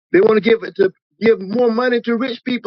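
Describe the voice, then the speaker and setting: A man at an extremely high pitch, with an animated tone and a fairly quick pace. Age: 60s. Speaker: podcast host debating politics. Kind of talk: heated debate.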